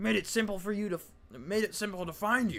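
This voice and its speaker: A man's put-on character voice, growling at a high pitch and a fairly quick pace. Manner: menacing.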